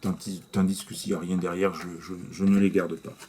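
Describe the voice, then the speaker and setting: Soft-spoken, this man talks quietly. His tone is dark and mellow. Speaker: YouTuber, movie reviewer. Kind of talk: casual vlog review. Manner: halting.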